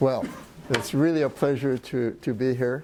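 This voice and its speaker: A man of medium pitch talks at a fairly quick pace with fairly even intonation. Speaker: port trade official, workshop speaker. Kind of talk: presentation. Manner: quiet; halting, many fillers.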